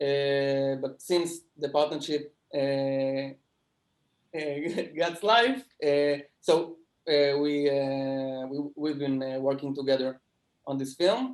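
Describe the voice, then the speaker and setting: Very slowly, a man speaks in a fairly high pitch with fairly even intonation. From Israel. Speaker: film producer. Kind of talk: interview. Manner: halting.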